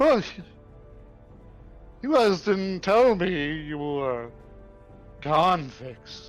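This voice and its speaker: A man performs a put-on character voice at a high pitch and a very slow pace, with long, frequent pauses. Faint music sits in the background. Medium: actual play.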